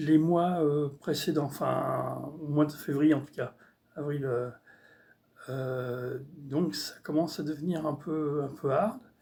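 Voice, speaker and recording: Fairly high in pitch, a man speaks very slowly with fairly even intonation. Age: 60s. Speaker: artist vlogger. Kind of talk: casual vlog monologue. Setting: at home on computer. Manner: halting, many hesitations.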